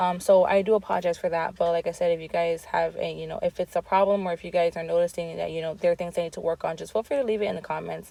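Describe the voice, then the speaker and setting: A woman talks at a very fast pace with hardly any pauses, the sound dry and close with no echo. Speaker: nail art hobbyist youtuber. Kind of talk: tutorial voiceover. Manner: hesitant, many fillers.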